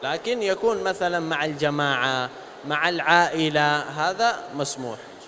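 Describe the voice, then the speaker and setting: A man's fairly high pitch and lively intonation at a very slow pace, over noticeable background noise. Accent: Arabic. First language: Arabic (speaking Indonesian). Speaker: religious speaker, sheikh. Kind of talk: religious talk to students. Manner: halting.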